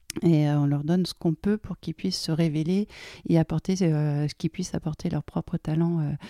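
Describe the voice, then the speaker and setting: A woman with a dark, mellow tone speaks at a moderate pace. The recording is very clean with a silent background, and the sound is dry and close with no echo. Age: 40s. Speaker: IT engineer and family constellations practitioner. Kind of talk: casual interview. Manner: hesitant, many fillers.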